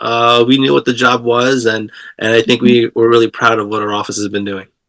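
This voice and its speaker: Speaking at a fairly quick pace in a New York accent, a man keeps his intonation fairly even. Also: medium pitch for a man. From Queens, New York; early childhood in Philippines. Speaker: politician. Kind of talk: interview. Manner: halting, many fillers.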